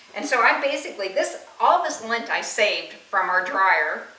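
There is audible room echo and light background noise as a woman talks at a moderate pace. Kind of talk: tutorial. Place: kitchen. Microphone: camera far.

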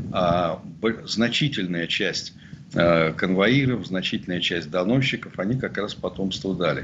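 A man speaks very slowly in a very deep, low voice with lively intonation over noticeable background noise. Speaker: journalist and sociologist. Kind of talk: interview, expert commentary. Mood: serious, critical. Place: home room. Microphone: webcam.

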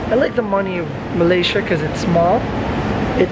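Loud noise sits behind a man who talks at a fairly quick pace. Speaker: travel vlogger. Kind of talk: casual vlog chat. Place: station. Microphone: phone near.

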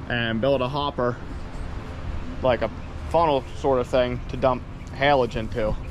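Noticeable background noise runs under this recording. A man speaks at a fairly slow pace. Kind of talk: casual vlog chat. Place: farm machine. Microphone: phone near.

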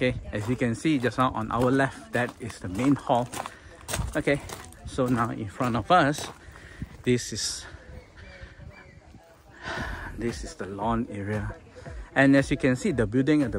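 A man talks at a fairly slow pace, leaving long, frequent pauses, with ordinary pitch variation. The sound is dry with no echo, over light background noise. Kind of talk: property tour commentary. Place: garden. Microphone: phone near.

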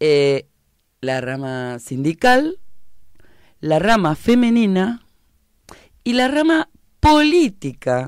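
A woman's very slow speech with long, frequent pauses, dry with no echo, against a quiet background. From Argentina, La Plata; Argentina. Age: 50s. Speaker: political activist; guest. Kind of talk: radio interview. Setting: radio studio. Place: studio. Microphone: studio mic.

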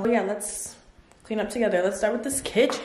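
Light background noise and audible room echo behind a female voice. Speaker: vlogger. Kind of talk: casual vlog chat. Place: home room. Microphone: phone near.

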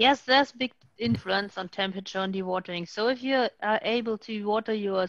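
In a German accent, a woman speaks at a medium pitch and moderate pace, with a dry sound with no echo and a quiet background. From Germany. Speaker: sludge treatment expert. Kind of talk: technical panel Q&A answers. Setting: video call webinar. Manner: halting, searches for words. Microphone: video call.

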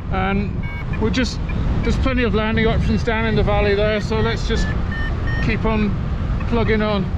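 A man speaks at a moderate pace while loud background noise plays behind him. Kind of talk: radio talk with teammates. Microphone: helmet.

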